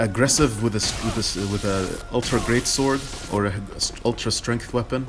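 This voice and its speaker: A man's pitch rises and falls in a typical way, with music playing behind him. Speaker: video game player. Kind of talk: casual gameplay commentary. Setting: home recording, lower audio quality. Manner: hesitant, many filler words.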